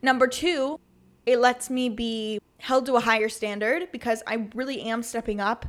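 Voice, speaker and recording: In an American accent, a woman speaks with a fairly high pitch, an animated tone and ordinary pitch variation. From South Carolina, US (from age ten; earlier Pennsylvania). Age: 20s. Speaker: podcast host. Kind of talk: casual monologue.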